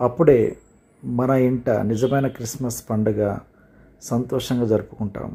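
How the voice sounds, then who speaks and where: The man's voice is medium in pitch, somewhat breathy, and dark and mellow in tone, with fairly even intonation. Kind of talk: motivational speech, Christmas greeting message.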